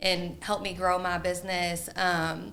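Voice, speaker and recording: A loud woman's voice of medium pitch, bright and sharp in tone, with audible room echo. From Louisville, Kentucky. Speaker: real estate agent. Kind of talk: casual chat.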